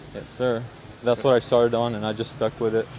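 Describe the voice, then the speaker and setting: A man speaks in a flat monotone. Background noise is noticeable. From Syria. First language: Arabic. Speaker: hip hop producer. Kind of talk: casual interview chat. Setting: outdoors on the street.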